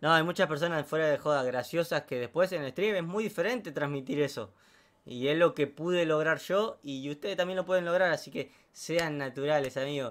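A man talks at a fairly quick pace. His fairly high voice shows ordinary pitch variation. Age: 20s. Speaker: streamer and hairdresser; interviewee. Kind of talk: casual interview. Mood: relaxed, chatty. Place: home room. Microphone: studio mic.

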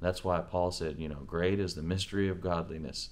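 A man speaks at a very deep, low pitch, his intonation monotone and flat. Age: 30s. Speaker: preacher. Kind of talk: testimony.

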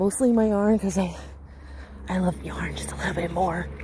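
A woman at a moderate pace with an American accent, dry with no echo, over noticeable background noise. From Western Washington, US. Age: 40s. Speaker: craft vlogger. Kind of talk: casual vlog chat. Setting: outdoors walking. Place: street. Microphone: phone near.

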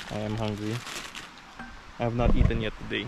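The tone is slightly mellow. Faint background noise sits behind it. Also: man.

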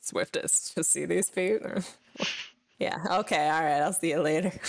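A woman's raspy, put-on character voice, theatrical in tone and fairly low in pitch, at a moderate pace. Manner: strained, theatrical.

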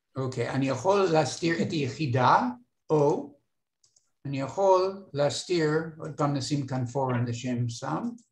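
Fairly slow, somewhat breathy speech with long, frequent pauses, audible room echo and a quiet background. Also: man, fairly high pitch for a man, ordinary pitch variation. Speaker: retired instructor filling in to teach course software. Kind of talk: online training workshop. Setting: video call. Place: home room.

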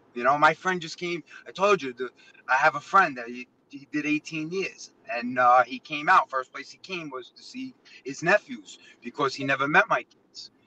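With a New York accent and a bright, sharp tone, a man talks at a moderate pace with lively intonation. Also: fairly high pitch for a man, big swings in loudness. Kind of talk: casual chat.

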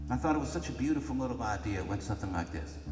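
A man speaks with audible room echo. Light background noise runs underneath. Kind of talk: storytelling between songs. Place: stage. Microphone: camera far.

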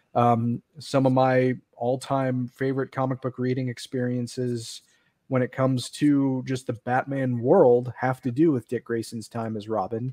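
With a quiet background and a dry sound free of echo, a man speaks at a moderate pace with fairly even intonation. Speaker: podcast co-host. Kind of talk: podcast discussion. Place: home room. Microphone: studio mic.

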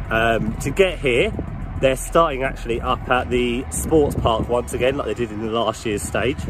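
A man at a fairly quick pace, dry sound with no echo, noticeable background noise. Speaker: cycling vlogger. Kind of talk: casual vlog chat. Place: bicycle. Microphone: phone near.

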